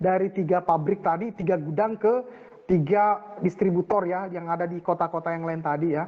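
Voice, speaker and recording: A man speaks at a moderate pace in a high voice. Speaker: university lecturer. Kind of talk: online lecture. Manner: halting, many fillers. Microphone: voice too quiet.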